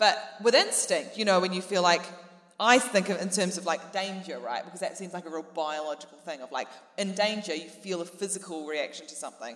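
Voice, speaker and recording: A woman with a New Zealand accent speaks at a fairly quick pace and medium pitch, her intonation lively and her loudness swinging widely, over noticeable background noise. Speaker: comedian. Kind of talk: live comedy podcast panel chat. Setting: stage with audience.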